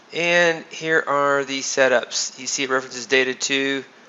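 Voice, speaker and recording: A man speaks at a medium pitch with ordinary pitch variation over noticeable background noise. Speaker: trading system developer giving webinar. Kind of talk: screen-share tutorial. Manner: casual with fillers.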